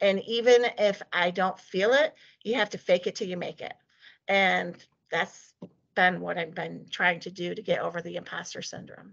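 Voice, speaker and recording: Shaky and marked by vocal fry, the voice moves at a moderate pace with ordinary pitch variation and big swings in loudness. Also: woman, medium pitch for a woman. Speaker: desktop engineer, guest speaker. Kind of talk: talk presentation with Q&A.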